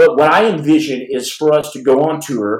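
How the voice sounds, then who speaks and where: The speaker is a man with a fairly high voice. His tone is animated. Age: 40s. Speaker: podcast host and former Navy SEAL. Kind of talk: live podcast storytelling. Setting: home livestream. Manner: halting.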